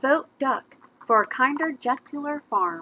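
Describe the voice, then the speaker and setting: A woman's high-pitched, put-on character voice at a fairly slow pace. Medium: read story.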